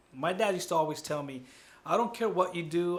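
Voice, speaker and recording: This man has a high pitch and a fairly quick pace. Audible room echo surrounds his voice. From US, child immigrant from Guatemala. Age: 40s. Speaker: college counselor. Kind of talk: interview. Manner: casual, animated.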